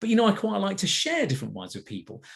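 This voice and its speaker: With an English accent, a man talks at a very fast pace, his vocal fry showing and his pitch swinging very widely. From England. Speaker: wine platform executive. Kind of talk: product presentation. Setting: video call.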